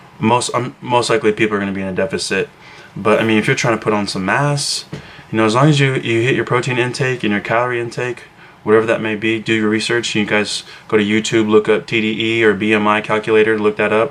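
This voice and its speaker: A man speaks very fast at a medium pitch with fairly even intonation. Noticeable background noise can be heard. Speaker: fitness vlogger. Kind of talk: casual vlog talk to camera. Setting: at home, brother sleeping nearby. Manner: quiet, hushed; hesitant, many fillers.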